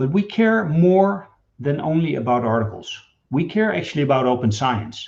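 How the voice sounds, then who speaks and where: With a Dutch accent, a man speaks at a moderate pace in a fairly high, somewhat breathy voice, with very wide pitch swings but very even loudness. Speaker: data management executive. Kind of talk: webinar presentation.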